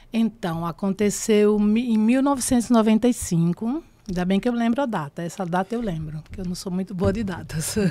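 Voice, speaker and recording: Dark and mellow in tone, a woman at medium pitch talks at a fairly quick pace with ordinary pitch variation and hardly any pauses. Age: 60s. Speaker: actress. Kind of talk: interview testimony.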